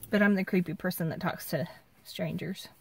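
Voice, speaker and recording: A woman talks at a moderate pace in a somewhat breathy voice with fairly even intonation. The sound is dry with no echo, over light background noise. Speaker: road trip vlogger. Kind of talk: casual vlog chat. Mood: playful, self-mocking. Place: car. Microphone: phone near.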